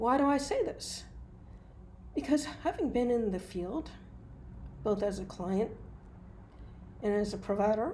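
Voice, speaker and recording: Amid audible room echo, a woman with an American accent and a fairly high, somewhat breathy, dark, mellow voice talks at a fairly slow pace with long, frequent pauses. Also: lively intonation. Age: 60s. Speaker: hypnotist and mental health provider. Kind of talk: opinion monologue.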